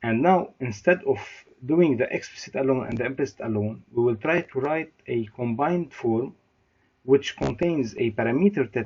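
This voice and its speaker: At a moderate pace, a man speaks in a somewhat breathy, medium-pitched voice with lively intonation. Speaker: university lecturer. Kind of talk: lecture. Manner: halting.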